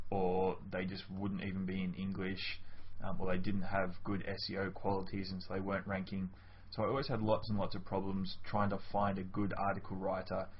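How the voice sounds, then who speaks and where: A man talks with a very deep, low pitch and a somewhat breathy sound. Light background noise is present. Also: moderate pace. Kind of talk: testimonial, casual direct address. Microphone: webcam.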